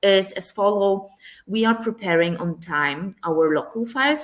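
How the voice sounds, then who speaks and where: The speaker has a non-native accent and uses ordinary pitch variation. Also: woman. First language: not English. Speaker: tax professional. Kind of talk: webinar interview.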